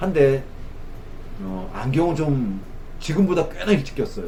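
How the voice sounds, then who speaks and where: Amid audible room echo, a man talks at a fairly slow pace with lively intonation. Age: 50s. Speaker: optician. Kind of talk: tutorial. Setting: sitting at an eye test station.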